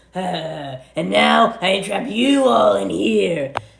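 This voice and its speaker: In a put-on character voice, the speaker rasps at a middle pitch and a very slow pace. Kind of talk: comic overacting. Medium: comedy sketch. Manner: gloating, theatrical.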